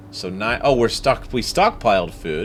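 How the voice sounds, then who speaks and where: Male voice at a moderate pace with ordinary pitch variation. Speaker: gaming streamer. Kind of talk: let's play commentary. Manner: voice rises when stressed.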